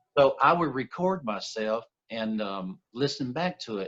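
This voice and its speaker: Against a quiet background, a man at a medium pitch speaks with lively intonation in a dry, close sound with no echo. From US Gulf Coast, Mobile, Alabama. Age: 60s. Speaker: recording studio owner and former country musician. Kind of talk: interview, life story.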